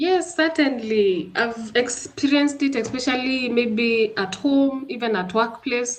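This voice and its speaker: A woman with a Kenyan accent speaks at a fairly slow pace with hardly any pauses, using a high pitch and ordinary pitch variation. Noticeable background noise runs behind her. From Kenya, Embu County. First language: Kimbere. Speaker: guest sharing personal experience. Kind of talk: interview. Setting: livestream.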